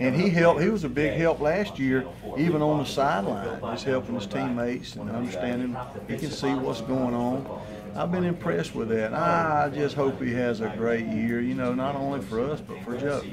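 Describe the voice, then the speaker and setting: Noticeable background noise and audible room echo fill this recording. A man speaks at a moderate pace and medium pitch with ordinary pitch variation. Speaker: football offensive line coach. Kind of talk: press interview. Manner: loud and boisterous.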